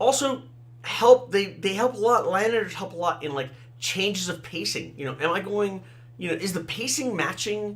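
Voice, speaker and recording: Amid noticeable background noise, a man with a high pitch talks at a fairly quick pace with very wide pitch swings. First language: Thai and Tamil. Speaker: fantasy author. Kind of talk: casual talk, solo podcast. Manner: conversational, with fillers.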